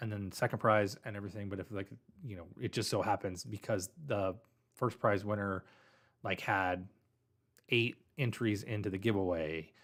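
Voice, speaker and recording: A man with a fairly low pitch speaks with fairly even intonation and long, frequent pauses. The recording is very clean with a silent background. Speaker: pen company owner hosting livestream. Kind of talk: livestream casual talk. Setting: livestream talking to camera. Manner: fast.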